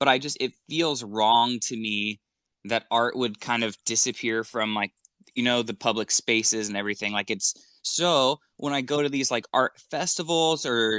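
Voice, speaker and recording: A man's medium-pitched voice, bright and sharp in tone, with ordinary pitch variation, in a dry, close, echo-free and very clean recording with a silent background. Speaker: podcast host. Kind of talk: casual chat. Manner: fast, interrupting.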